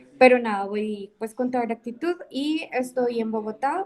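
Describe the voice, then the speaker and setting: A woman speaks at a fairly slow pace with a fairly high pitch and a plain, everyday voice. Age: 20s. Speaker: university student. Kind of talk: class introduction in video session.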